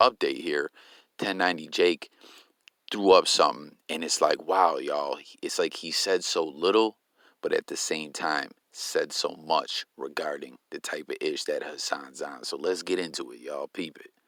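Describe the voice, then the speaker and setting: A man speaks at a moderate pace with big swings in loudness. The sound is dry and close, with no echo. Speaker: YouTube commentator. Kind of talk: casual commentary vlog. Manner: halting, stumbling; animated.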